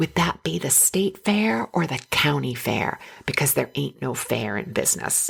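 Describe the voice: A raspy, put-on character voice speaks in a Southern US accent at a low-to-middle pitch and a moderate pace. Its pitch swings very widely. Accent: Southern American.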